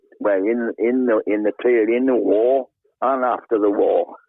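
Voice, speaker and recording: With a South Wales Valleys accent, a man speaks in a flat monotone at medium pitch and a moderate pace. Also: very even loudness. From Wales, South Wales Valleys (Treforest). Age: 70s. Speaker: retired tackle shop owner and angler. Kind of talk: casual chat.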